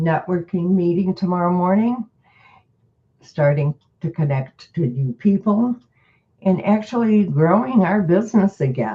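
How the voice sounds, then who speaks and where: Speaking at a fairly slow pace, a woman has a somewhat breathy, fairly low voice with lively intonation. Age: 80s+. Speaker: direct sales business leader. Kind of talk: group meeting coaching.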